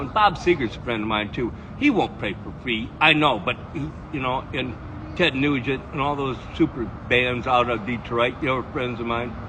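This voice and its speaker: Medium-pitched male voice with an Upper Midwest accent, over noticeable background noise. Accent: Upper Midwest American. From northern Michigan. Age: 70s. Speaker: puppeteer. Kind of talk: casual street conversation. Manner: halting.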